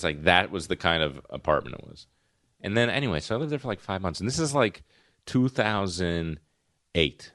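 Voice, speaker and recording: In an East Coast US accent, a man with a very deep, low pitch speaks with very wide pitch swings and big swings in loudness over a quiet background. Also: fairly quick pace. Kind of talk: casual chat.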